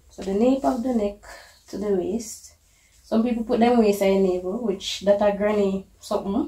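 With audible room echo, a woman speaks at a moderate pace and ordinary pitch variation. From Jamaica. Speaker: fashion designer. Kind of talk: casual explanation to clients. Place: shop.

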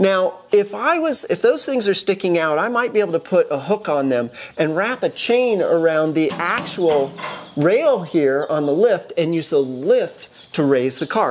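A woman speaks at a moderate pace in a fairly low pitch. It is an unremarkable speaking voice. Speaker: car hobbyist host. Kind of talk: tutorial. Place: garage. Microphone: camera far.

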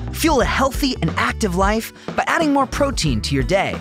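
With music in the background, a man keeps to a moderate pace as he talks. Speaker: voice actor. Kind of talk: TV commercial read.

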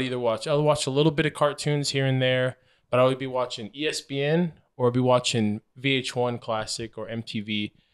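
With fairly even intonation, a man keeps a moderate pace over a quiet background. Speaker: podcast co-host. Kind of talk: casual chat. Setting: studio with a live audience. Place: home room. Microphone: handheld.

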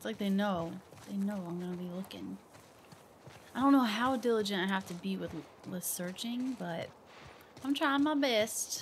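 Somewhat breathy and with an American accent, a woman at a medium pitch talks at a moderate pace with lively intonation, big swings in loudness, and long, frequent pauses. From US Midwest, Ohio. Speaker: gaming streamer. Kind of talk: let's play commentary. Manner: animated.

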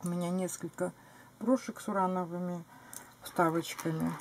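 At a moderate pace, a woman speaks in a somewhat breathy voice with a dark, mellow tone. She takes long, frequent pauses, her loudness swings widely, and there is light background noise. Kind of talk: casual show-and-tell vlog. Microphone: camera far.

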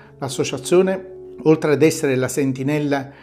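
Faint music plays in the background while a man talks at a moderate pace. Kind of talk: formal commemorative address. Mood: solemn and earnest. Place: office. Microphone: lapel.

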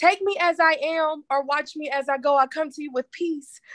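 Fairly even intonation carries along at a moderate pace. The sound is dry with no echo over a quiet background. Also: woman. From US South, Tennessee. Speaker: poet and author. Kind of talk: casual interview; spoken word poetry. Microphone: video call.

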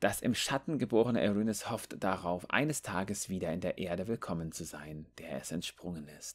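A man's very deep, low voice at a moderate pace, with lively intonation and big swings in loudness. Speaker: gaming youtuber. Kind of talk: reading out game lore text aloud, in a narration style, with commentary before and after; casual gaming commentary. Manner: casual and chatty, animated.

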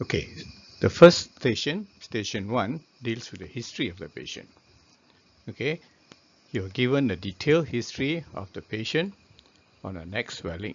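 The man's fairly low voice has a slightly husky edge and big pitch swings. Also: moderate pace.

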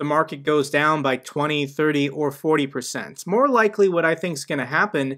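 At a moderate pace, a man speaks in a bright, sharp tone over a quiet background. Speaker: finance youtuber. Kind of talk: commentary. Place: home room.

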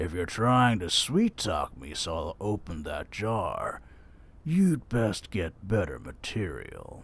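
This man talks at a fairly slow pace with a medium pitch. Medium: audio drama. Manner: gruff, smug, menacing.

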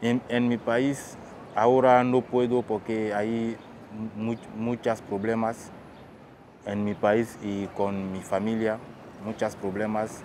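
Noticeable background noise surrounds a man's fairly low voice, heard dry with no echo. He speaks very slowly in a flat monotone. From Guinea. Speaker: refugee. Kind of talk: testimony. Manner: halting, many fillers and repetitions. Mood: serious, reflective. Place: waterside.

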